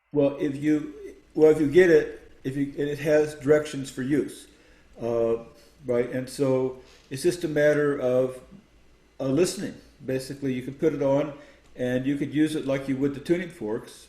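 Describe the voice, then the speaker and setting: With long, frequent pauses, a man speaks at a moderate pace in a dark, mellow tone. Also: fairly high pitch for a man. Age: 70s. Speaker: sound healing expert and author. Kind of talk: interview. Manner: halting.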